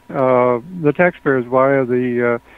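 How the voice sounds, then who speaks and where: Someone with a Canadian accent speaks over noticeable background noise. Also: man. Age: 60s. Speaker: talk show participant. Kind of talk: panel discussion. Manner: halting, many fillers and repetitions.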